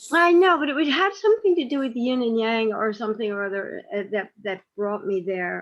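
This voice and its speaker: A woman's fairly high voice at a fairly quick pace, with very wide pitch swings and hardly any pauses. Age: 70s. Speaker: co-host of a community discussion circle. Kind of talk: casual group chat. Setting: video call. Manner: halting.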